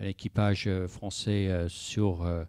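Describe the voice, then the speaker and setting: In an English accent, a man with a very deep, low, dark and mellow voice speaks at a very slow pace with fairly even intonation, on a very clean recording with a silent background. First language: English (speaking French). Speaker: sailing project manager. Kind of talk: panel discussion. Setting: conference with audience. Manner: halting, many hesitations.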